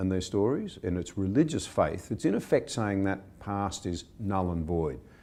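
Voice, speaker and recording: Here a man speaks with an Australian accent. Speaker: interviewer. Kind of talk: interview.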